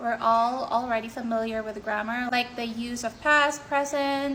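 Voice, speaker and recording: Speaking at a moderate pace, a woman uses a high, bright, sharp voice with fairly even intonation. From Philippines. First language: Filipino. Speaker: IELTS tutor / content creator. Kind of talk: tutorial. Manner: casual, conversational.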